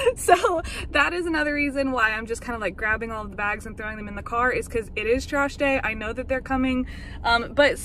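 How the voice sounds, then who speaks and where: A woman's high-pitched voice at a fairly quick pace, with ordinary pitch variation and big swings in loudness, dry with no echo over light background noise. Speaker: vlogger. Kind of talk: casual vlog chat. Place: car. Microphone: phone near.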